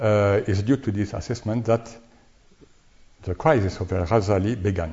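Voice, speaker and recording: A man's somewhat breathy voice comes with long, frequent pauses. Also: ordinary pitch variation, moderate pace. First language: French. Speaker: lecturer on Sufism. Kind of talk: academic lecture reading from paper. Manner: halting with many hesitations.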